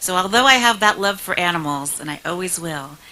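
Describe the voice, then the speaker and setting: Her voice sits fairly low for a woman. Behind it, background noise is noticeable. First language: Spanish. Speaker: state senator. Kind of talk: speech.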